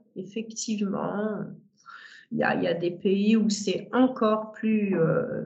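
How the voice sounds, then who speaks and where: A woman's somewhat breathy voice at a very slow pace, with audible room echo. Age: 60s. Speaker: sex therapist and tantra teacher. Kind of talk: interview conversation. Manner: hesitant, many fillers.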